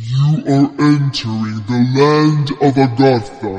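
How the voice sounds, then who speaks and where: This man uses a put-on character voice at a medium pitch. He speaks at a fairly slow pace. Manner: stern.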